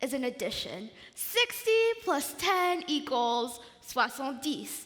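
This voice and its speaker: Projecting a raised voice at a high pitch, a woman speaks fairly slowly with very wide pitch swings over noticeable background noise. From Belgium. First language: French. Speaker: pageant contestant. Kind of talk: talent presentation. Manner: animated.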